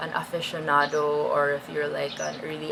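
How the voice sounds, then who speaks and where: Noticeable background noise is present. The talking keeps a moderate pace. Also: woman. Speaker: fashion and luxury bag YouTuber. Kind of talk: product review. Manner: casual, filler-heavy.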